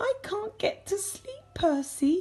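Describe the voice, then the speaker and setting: A woman's squeaky, extremely high-pitched put-on character voice. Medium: read story.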